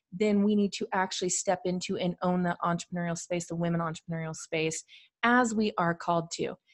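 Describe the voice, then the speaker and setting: A woman speaks fairly quickly, her pitch varying in an ordinary way, with quiet all around. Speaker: podcast host. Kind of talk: solo podcast talk. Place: home room. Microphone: studio mic.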